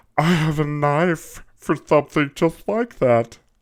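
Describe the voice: Putting on a squeaky character voice, a man speaks at a fairly high pitch and a fairly slow pace.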